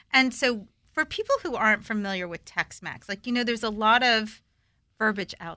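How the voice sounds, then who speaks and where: Against a quiet background, a woman of medium pitch talks at a fairly quick pace in an animated, bright, sharp tone with ordinary pitch variation. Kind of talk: casual radio show chat. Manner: animated, excitable.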